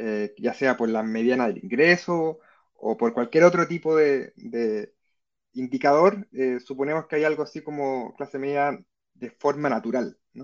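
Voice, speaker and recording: Over a quiet background, a man with a fairly high pitch speaks at a fairly slow pace, with lively intonation and big swings in loudness. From Chile. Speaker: historian and university professor. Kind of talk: interview. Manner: hesitant, many fillers.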